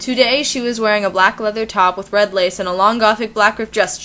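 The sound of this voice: An unforced reading voice is used throughout.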